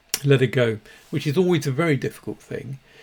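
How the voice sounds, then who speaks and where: The man's voice sits at a medium pitch and is somewhat breathy. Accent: British. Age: 60s. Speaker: dog behaviourist. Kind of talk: casual monologue. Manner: halting, many repeated words.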